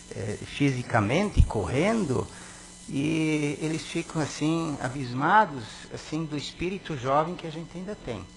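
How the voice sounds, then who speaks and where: A man speaks in a fairly high pitch, with big swings in loudness. Noticeable background noise runs underneath. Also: lively intonation. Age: 60s. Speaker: city councillor. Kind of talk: reading aloud; ceremonial speech. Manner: hesitant.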